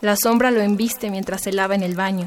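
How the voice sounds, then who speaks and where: Noticeable background noise surrounds a woman speaking at a moderate pace. Her pitch is fairly high. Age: 20s. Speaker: poet and literature student. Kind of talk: poetry reading.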